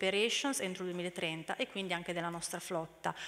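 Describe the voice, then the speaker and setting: A woman speaks at a moderate pace in a bright, sharp tone. Her intonation stays fairly even. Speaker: corporate mobility manager; presenter. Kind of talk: conference talk. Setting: stage with audience. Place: hall. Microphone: podium.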